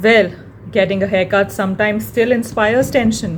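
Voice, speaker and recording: Against noticeable background noise, a woman with an Indian accent speaks at a medium pitch. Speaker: blogger. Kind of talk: reading aloud.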